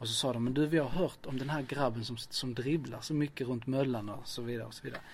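A man with a medium pitch and a somewhat breathy voice talks at a very fast pace with hardly any pauses. His intonation is fairly even, while his loudness swings widely. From southern Sweden, Lund. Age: 40s. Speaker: community organizer. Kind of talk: interview.

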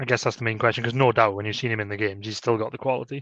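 A man talks at a very fast pace. His intonation stays fairly even. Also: fairly low pitch for a man, fairly bright tone.

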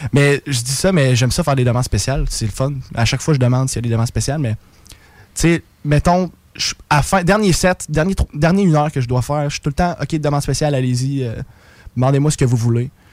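Ordinary pitch variation marks this man's speech. He talks at a very fast pace. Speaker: bar singer-guitarist. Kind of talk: casual chat. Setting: radio studio. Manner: animated.

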